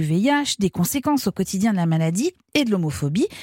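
Somewhat breathy, a woman talks at a fairly quick pace at a medium pitch, her voice making very wide pitch swings. The sound is dry and close, with no echo. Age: 40s. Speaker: podcast host. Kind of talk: scripted narration.

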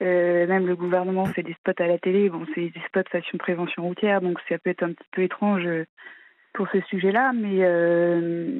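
This woman has an ordinary speaking voice with a fairly low pitch. She talks at a moderate pace with fairly even intonation. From Normandy, France. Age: 30s. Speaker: caller, incest survivor. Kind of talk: testimony. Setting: phone call.

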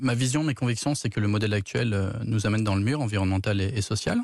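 Against a quiet background, a man with a fairly low pitch uses an unremarkable speaking voice with ordinary pitch variation. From France, Dordogne (childhood in Burkina Faso). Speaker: entrepreneur, startup founder. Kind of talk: radio interview.

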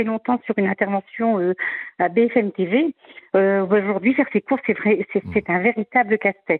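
A woman speaks at a moderate pace in a plain, everyday voice, her pitch fairly high with ordinary variation. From northern France, Valenciennes area. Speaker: caller, payroll administrator. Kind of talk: radio call-in. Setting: phone call.

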